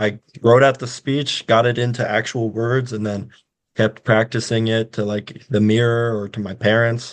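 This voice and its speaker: With a monotone, flat delivery, a man talks at a medium pitch. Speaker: college athlete. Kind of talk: casual chat.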